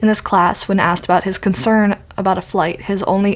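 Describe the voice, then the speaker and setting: Her pace is fairly quick. The woman's intonation is monotone and flat, and her pitch is medium. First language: not English. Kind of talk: video essay narration. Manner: stuttering, sometimes tongue-tied.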